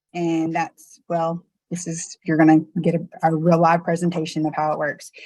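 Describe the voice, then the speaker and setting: Dry and close with no echo, a woman's voice has a dark, mellow tone and fairly low pitch, moving at a moderate pace in a monotone, flat intonation. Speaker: real estate trainer. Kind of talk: online presentation tutorial. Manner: casual, filler-heavy.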